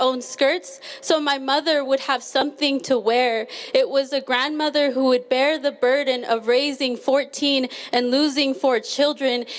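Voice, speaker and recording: A woman with a high voice speaks at a moderate pace, her loudness very even and her intonation fairly even, over noticeable background noise. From Mexico (Cuernavaca), raised in US from age 5. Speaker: immigrant activist, spoken word performer. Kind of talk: spoken word performance.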